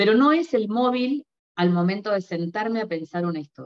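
A woman's speech rises and falls in a lively way, with little sound behind her. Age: 50s. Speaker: novelist; interviewee. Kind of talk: interview; interview answer. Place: home room. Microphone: video call.

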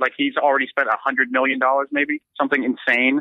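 This man talks very fast, with fairly high pitch and fairly even intonation. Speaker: political field reporter. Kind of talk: casual chat. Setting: remote call.

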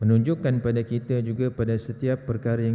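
A man's voice with a dark, mellow tone. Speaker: religious teacher. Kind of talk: lecture. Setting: mosque prayer hall.

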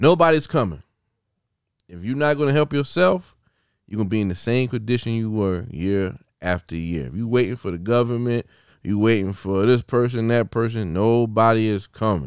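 A man with a South Carolina accent speaks at a moderate pace with a medium pitch and lively intonation, the sound dry with no echo against a quiet background. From Sumter, South Carolina. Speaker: podcast host. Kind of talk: casual interview. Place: studio. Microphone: studio mic.

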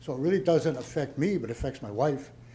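A man talks very fast with lively intonation and a dark, mellow tone. His voice is somewhat breathy, and the room has an audible echo. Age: 70s. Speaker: resident at town meeting. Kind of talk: public Q&A. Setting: town hall meeting.

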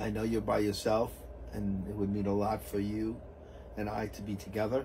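Light background noise behind a man's moderately paced speech. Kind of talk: reading a letter aloud. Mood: moved, emotional. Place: plane. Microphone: camera far.

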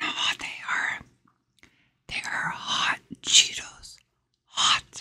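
A woman whispers at a very slow pace, with long pauses coming often. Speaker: ASMR creator. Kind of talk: ASMR eating video, casual talk to camera. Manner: whispered, relaxing. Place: home room. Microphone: studio mic.

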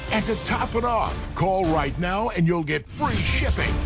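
Music plays behind a man with a high-pitched voice. His intonation is lively. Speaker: voice-over narrator. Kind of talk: TV commercial read.

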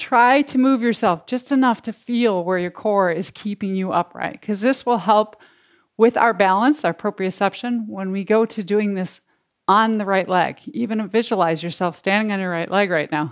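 A woman's gentle tone at a moderate pace, with ordinary pitch variation and a quiet background. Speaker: yoga instructor. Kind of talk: guided yoga class with calm step-by-step verbal cues. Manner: gentle, encouraging, with light laughs. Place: home room.

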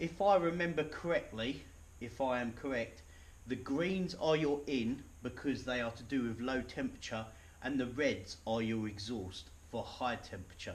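A man's somewhat breathy voice at a moderate pace. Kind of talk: tutorial. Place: garage. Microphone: camera far.

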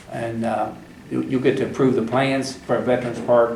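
A man talks at a moderate pace and medium pitch in a monotone, flat intonation. Audible room echo and noticeable background noise surround him. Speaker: county judge chairing fiscal court meeting. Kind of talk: public meeting. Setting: courtroom. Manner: halting.

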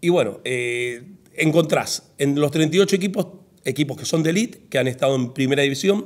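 Using lively intonation, a man with a fairly high voice speaks at a moderate pace. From Argentina, Santa Fe province (Humberto Primo area); Santa Fe, Argentina. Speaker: football federation president; guest. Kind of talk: casual interview. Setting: in-person conversation over coffee. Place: studio. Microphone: studio mic.

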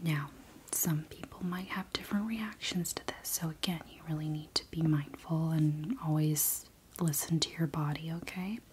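A soft-spoken woman with a gentle tone talks at a moderate pace in a very deep, low pitch with ordinary pitch variation. There are big swings in loudness and noticeable background noise. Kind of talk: soft personal-attention role-play chat. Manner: soft-spoken, gentle and hushed. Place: home room.

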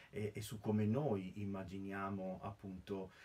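A man's somewhat breathy voice has a dark, mellow tone, a fairly low pitch and fairly even intonation. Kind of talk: lecture. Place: home room. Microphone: webcam.

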